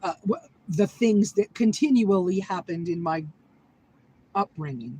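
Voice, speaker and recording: A woman with an American accent speaks at a fairly slow pace with lively intonation. Noticeable background noise runs underneath. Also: medium pitch for a woman, dry, close sound with no echo. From US Northeast, southern Maine. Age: 60s. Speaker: vlogger. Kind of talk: casual live-stream chat. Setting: inside a vehicle. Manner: emotional, heartfelt.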